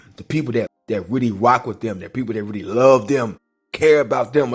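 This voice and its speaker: A man speaks at a moderate pace in a medium-pitched voice with ordinary pitch variation, music playing in the background. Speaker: podcast host. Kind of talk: motivational monologue. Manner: casual slangy; repetitive halting.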